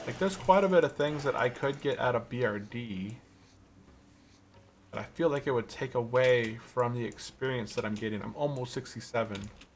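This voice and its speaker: A somewhat breathy male voice at medium pitch with ordinary pitch variation. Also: moderate pace. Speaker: video game streamer. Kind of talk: live gameplay commentary. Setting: live stream. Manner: casual, thinking aloud.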